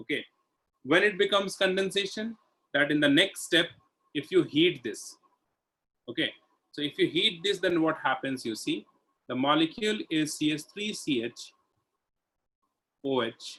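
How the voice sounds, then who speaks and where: With a high pitch and lively intonation, a man speaks with long, frequent pauses. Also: moderate pace. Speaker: chemistry teacher. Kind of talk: online lecture.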